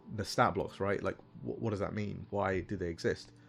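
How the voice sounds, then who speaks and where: Ordinary pitch variation with music in the background. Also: man. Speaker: game designer streaming. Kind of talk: livestream talk. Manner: fast; casual, many fillers.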